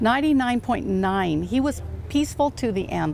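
Over light background noise, a woman talks at a fairly slow pace. Her voice sounds dry, with no echo. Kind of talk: interview answer. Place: open country. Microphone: lapel.

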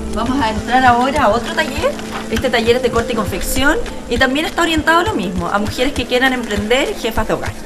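Over clear background music, a woman speaks at a very fast pace with ordinary pitch variation. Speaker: politician hosting a TV segment. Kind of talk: presenter commentary. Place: classroom.

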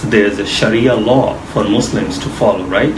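Noticeable background noise sits behind a man speaking. He talks at a moderate pace and a medium pitch. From Bangladesh. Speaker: mortgage finance specialist. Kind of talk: interview explaining finance. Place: office. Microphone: camera far.

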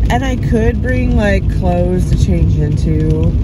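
Loud background noise runs behind a woman speaking at a fairly slow pace. Her voice sounds dry, with no echo. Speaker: vlogger. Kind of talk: casual vlog chat. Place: car. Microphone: phone near.

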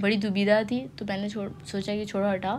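There is audible room echo around a woman whose voice sits at a medium pitch. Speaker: vlogger. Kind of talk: vlog voice-over. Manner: casual, halting.

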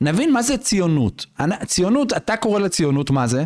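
At a fairly quick pace, a man speaks in a high voice with very wide pitch swings against a quiet background. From Israel, Bnei Brak (Haredi community); Israel. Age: 40s. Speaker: rabbi, reserve officer and lawyer; rabbi, lawyer. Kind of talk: podcast interview. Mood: earnest, explanatory. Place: studio. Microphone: studio mic.

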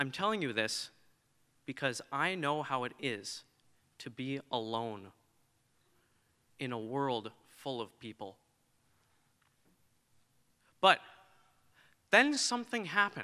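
With a bright, sharp tone, a man speaks at a fairly slow pace with long, frequent pauses against a quiet background. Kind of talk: prepared speech. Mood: earnest, reflective. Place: hall. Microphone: podium.

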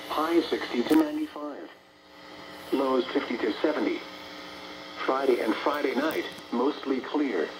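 A man speaks at a fairly slow pace in a medium pitch, with ordinary pitch variation.

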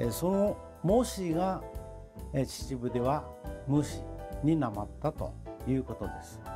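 Clear music plays behind a man who speaks fairly slowly with long, frequent pauses. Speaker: local dialect researcher. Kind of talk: dialect explanation. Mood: warm, smiling. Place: home room.

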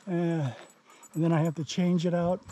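At a moderate pace, a man talks with a high pitch and a dark, mellow tone, the sound dry with no echo over light background noise. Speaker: outdoor vlogger. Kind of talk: casual vlog narration. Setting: outdoors. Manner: panting. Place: open country. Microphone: phone near.

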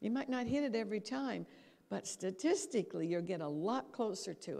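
Very wide pitch swings mark this woman's speech in an American accent. Her tone is dark and mellow. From Canada, Calgary, Alberta, then New York from age 16; Alberta, Canada. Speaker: brain and habits lecturer; habits lecturer. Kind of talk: lecture. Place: hall. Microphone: handheld.

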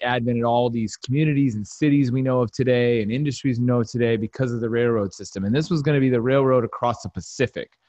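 A man speaks at a fairly quick pace with a medium pitch. The sound is dry with no echo against a quiet background. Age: 30s. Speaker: webinar host. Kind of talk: casual chat. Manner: animated. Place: home room. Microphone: studio mic.

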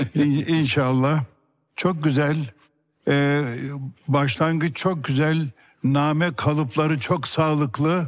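A man with a fairly high pitch talks at a very slow pace against a quiet background. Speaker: competition judge, Quran recitation teacher. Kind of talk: jury feedback on television. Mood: warm, praising. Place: studio. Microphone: headset.

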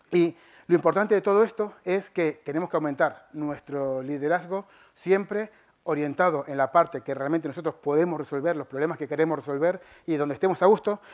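With an Argentine accent, this speaker goes at a fairly quick pace with fairly even intonation against a quiet background. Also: man. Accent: Argentine Spanish (voseo). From Argentina. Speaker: software engineer and conference speaker; conference speaker. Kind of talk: conference talk. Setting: stage with audience. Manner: fast. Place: hall. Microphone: headset.

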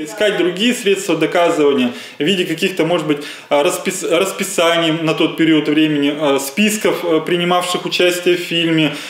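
A man talks at a moderate pace in a high pitch, with fairly even intonation and very even loudness. Room echo is audible. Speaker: lawyer. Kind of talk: interview answer. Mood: calm, matter-of-fact. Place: office.

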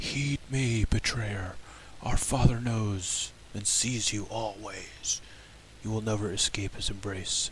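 Putting on a character voice, a man talks at a medium pitch and a fairly slow pace. His intonation stays fairly even, with clear background noise. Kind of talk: archaic, solemn. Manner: scornful, screaming, menacing.

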